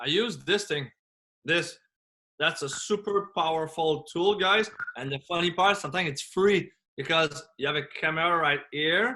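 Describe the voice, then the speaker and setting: In a French accent, a man speaks at a moderate pace with a high pitch, a bright, sharp tone, and ordinary pitch variation. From France. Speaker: business coach and motivational speaker. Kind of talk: podcast interview. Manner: animated.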